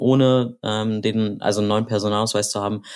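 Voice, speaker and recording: Fairly even intonation from a man with a fairly low voice, at a moderate tempo. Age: 20s. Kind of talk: casual interview. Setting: video call. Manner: halting, many fillers.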